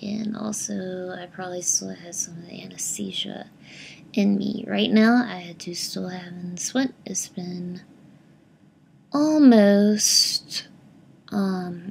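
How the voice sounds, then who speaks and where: The speech comes at a very slow pace. There is noticeable background noise. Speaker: vlogger sharing surgery recovery. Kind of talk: casual video diary. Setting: at home in recliner. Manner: hesitant, many filler words.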